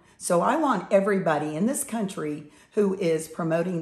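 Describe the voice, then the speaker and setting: A woman with an American accent at a fairly slow pace, with audible room echo. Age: 70s. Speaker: political commentator. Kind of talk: opinion monologue.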